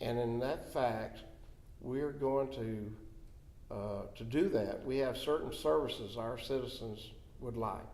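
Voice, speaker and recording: With a Florida accent, a man talks at a fairly slow pace with long, frequent pauses and ordinary pitch variation, and audible room echo surrounds him. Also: medium pitch for a man. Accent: Southern US (Florida). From Florida (Dade City). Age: 70s. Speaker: county commissioner. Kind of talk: interview. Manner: halting, with many fillers.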